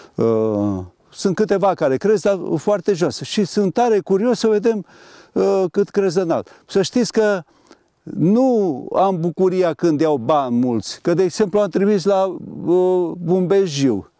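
A man with a high voice speaks at a very slow pace, his intonation lively, his tone dark and mellow, his loudness very even, and the sound dry and close with no echo. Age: 70s. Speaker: engineer and ginkgo tree grower. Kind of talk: interview. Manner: halting.

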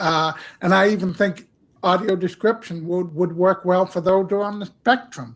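Pitched high, a man talks at a moderate pace. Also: ordinary pitch variation. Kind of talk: panel discussion. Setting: video call. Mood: earnest, reflective. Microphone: headset.

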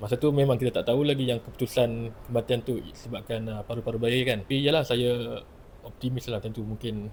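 Intonation is fairly even. There is a somewhat breathy quality to the voice. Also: man. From Penang, Malaysia. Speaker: lawyer, former naval cadet. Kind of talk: testimony.

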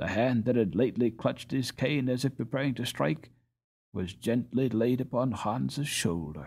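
Lively intonation colors an unforced reading voice over a quiet background.

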